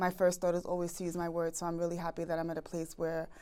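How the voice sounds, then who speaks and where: A woman with a fairly low voice on a very clean recording with a silent background. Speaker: relationship podcast host. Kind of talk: podcast Q&A answers. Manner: fast.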